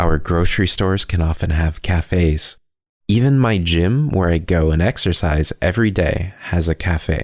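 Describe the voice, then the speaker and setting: A man's very deep, low voice with an American accent, ordinary pitch variation and very even loudness. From Pacific Northwest, United States. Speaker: English-learning podcast host. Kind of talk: educational podcast talk to listeners. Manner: clear, friendly, slow.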